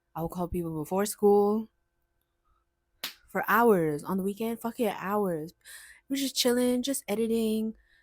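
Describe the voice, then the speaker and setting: Recorded very cleanly against a silent background, a woman with an American accent speaks at a moderate pace in a fairly high pitch and an animated tone, with long, frequent pauses. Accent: sounds American. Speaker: vlogger. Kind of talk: casual chat.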